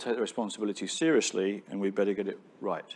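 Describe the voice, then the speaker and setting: A man with a British accent speaks at a fairly low pitch. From Britain. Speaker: tech company founder. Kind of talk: onstage interview. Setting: stage with audience.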